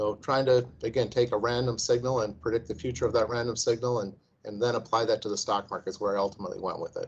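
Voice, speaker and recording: A man's very fast, somewhat breathy delivery at medium pitch, monotone and flat, with hardly any pauses. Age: 60s. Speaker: investment firm founder, former engineer. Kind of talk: interview. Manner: halting, many repeated words.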